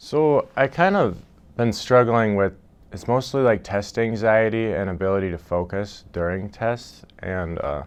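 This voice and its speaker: A man with a normal speaking voice talks at a fairly slow pace and fairly low pitch, with ordinary pitch variation, over a quiet background. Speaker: college student. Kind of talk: interview testimony.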